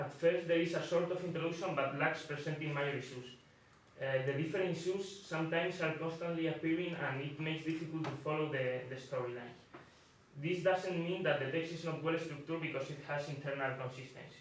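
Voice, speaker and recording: A man with a Spanish accent talks at a fairly quick pace in a fairly high voice for a man, his intonation fairly even, with noticeable background noise and audible room echo. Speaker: student discussant. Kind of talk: reading aloud.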